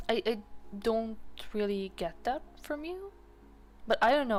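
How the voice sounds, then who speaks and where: A woman talks at a moderate pace with a slight Serbian accent. Her intonation is lively. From Serbia (Balkans). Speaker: art streamer. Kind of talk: casual chat. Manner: animated.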